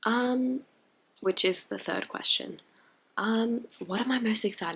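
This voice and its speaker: Mumbling at a fairly slow pace, a woman uses a fairly high pitch with ordinary pitch variation and long, frequent pauses. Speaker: book vlogger. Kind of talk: casual vlog monologue. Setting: home video recording with ring light. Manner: halting.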